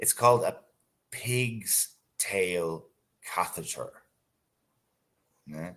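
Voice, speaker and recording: In an Irish accent, a man with a fairly low voice speaks at a very slow pace, with lively intonation and long, frequent pauses. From Ireland. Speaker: English tutor. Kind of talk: casual chat.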